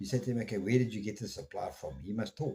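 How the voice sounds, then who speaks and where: This man speaks at a very fast pace with a fairly low pitch. His voice is somewhat breathy. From South Africa. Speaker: podcast host. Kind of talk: opinion monologue. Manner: slurred at times; animated.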